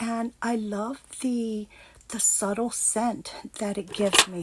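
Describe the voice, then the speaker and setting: Noticeable background noise sits behind a woman with a fairly high pitch. Her pace is very slow. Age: 50s. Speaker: lifestyle vlogger. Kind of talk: casual vlog talk. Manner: hesitant, many fillers.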